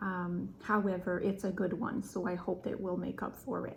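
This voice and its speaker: Here a woman speaks with a French accent. Her pace is fairly slow. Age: 30s. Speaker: craft vlogger. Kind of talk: casual podcast chat. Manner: halting with fillers.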